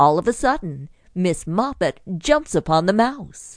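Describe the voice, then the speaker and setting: A woman speaks with a fairly low pitch and very wide swings in it. The background is quiet. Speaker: audiobook narrator. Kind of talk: audiobook bedtime story narration for children. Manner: gentle, storytelling, lightly playful; clear, measured pacing for young listeners.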